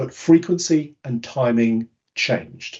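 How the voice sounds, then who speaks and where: This man talks with a British accent, his medium-pitched voice somewhat breathy. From United Kingdom. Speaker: conference speaker on behavioural science. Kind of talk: webinar presentation.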